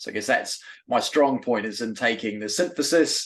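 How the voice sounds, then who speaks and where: A man speaks with a New Zealand accent at a medium pitch. The background is quiet. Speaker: synthesis chemist and program manager. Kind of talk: self-introduction in a webinar.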